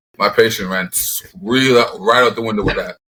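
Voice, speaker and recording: A man with a Jamaican Canadian accent has a bright, sharp tone and ordinary pitch variation. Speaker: professional football player. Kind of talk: casual interview chat.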